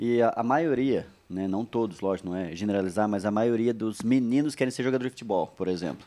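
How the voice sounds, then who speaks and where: A man's medium-pitched voice with a dark, mellow tone and ordinary pitch variation, moving at a fairly quick pace with hardly any pauses against a quiet background. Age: 30s. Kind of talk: casual chat.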